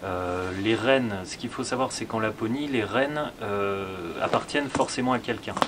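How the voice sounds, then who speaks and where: Noticeable background noise behind a man of medium pitch, moderately paced, with ordinary pitch variation. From France, Lyon. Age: 30s. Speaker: business consultant, co-host. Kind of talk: casual Q&A chat. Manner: measured, explanatory.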